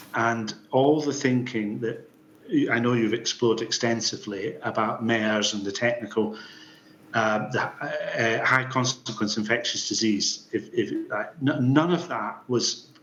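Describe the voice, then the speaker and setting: Fairly slow delivery from a man at medium pitch, ordinary pitch variation, noticeable background noise behind him. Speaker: inquiry witness, former public health official. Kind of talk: formal testimony. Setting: public inquiry hearing room. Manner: animated.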